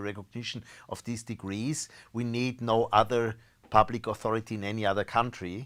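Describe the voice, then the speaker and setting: German-accented speech at a fairly quick pace with monotone, flat intonation, in a very clean recording with a silent background. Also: man. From Austria. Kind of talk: interview. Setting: live stream. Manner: halting, frequent repetitions.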